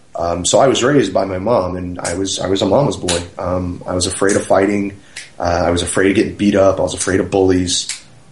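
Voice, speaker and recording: A man talks at a fairly quick pace with a very deep, low pitch and fairly even intonation. Audible room echo surrounds his voice. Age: 30s. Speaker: professional wrestler. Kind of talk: casual interview.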